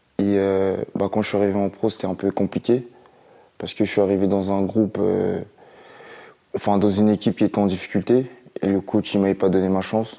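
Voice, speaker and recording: Speaking at a fairly quick pace with long, frequent pauses, a man uses a fairly low pitch, a dark, mellow tone and monotone, flat intonation. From France. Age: 20s. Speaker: professional footballer. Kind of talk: introduction interview. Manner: hesitant, many fillers.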